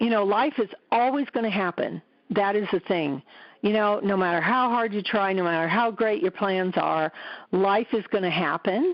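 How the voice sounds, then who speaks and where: An unremarkable speaking voice: a woman at medium pitch, moderate pace, ordinary pitch variation and very even loudness. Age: 60s. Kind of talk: testimonial interview answer. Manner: casual, conversational.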